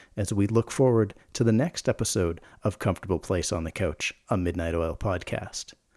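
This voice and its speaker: An ordinary speaking voice from a man, fairly low in pitch at a moderate pace, dry and close with no echo, on a very clean recording with a silent background. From Canada. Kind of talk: casual interview; scripted intro and outro.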